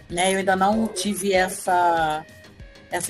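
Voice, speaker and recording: A woman speaks with ordinary pitch variation over music playing in the background. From Rio de Janeiro, Brazil. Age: 40s. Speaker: writer and Portuguese teacher. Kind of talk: interview answer.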